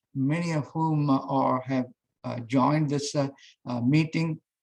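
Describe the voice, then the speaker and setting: Somewhat breathy and fairly high in pitch, a man speaks at a fairly slow pace with ordinary pitch variation. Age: 60s. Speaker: professor. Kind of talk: speech. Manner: halting, many fillers.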